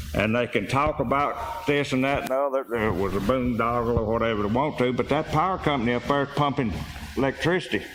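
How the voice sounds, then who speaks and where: Over noticeable background noise, a man with a Mississippi accent talks at a very fast pace at a medium pitch, with ordinary pitch variation and very even loudness. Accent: Mississippi Southern. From Mississippi, Meridian. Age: 70s. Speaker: community member speaking at public meeting. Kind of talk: public comment. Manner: halting.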